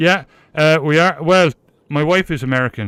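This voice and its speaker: A Cork accent at a fairly quick pace. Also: man, dry, close sound with no echo, very clean recording, silent background. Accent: Irish (Cork). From Ireland, Cork City. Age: 50s. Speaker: live streamer, gamer. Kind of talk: casual chat.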